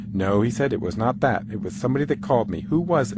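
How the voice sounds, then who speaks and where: Over noticeable background noise, a man speaks at a fairly quick pace. His fairly low voice has lively intonation. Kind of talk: dramatic reading of a letter.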